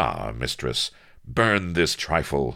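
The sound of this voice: Putting on a character voice, a man speaks slowly at an extremely low pitch, with a bright, sharp tone, vocal fry and big pitch swings. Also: very clean recording, silent background.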